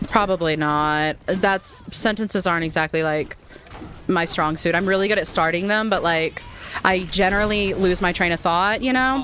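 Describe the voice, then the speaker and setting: A woman with an American accent and an unremarkable speaking voice talks at a medium pitch and a moderate pace, her loudness very even and her pitch variation ordinary. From United States. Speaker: gaming streamer. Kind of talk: casual chat.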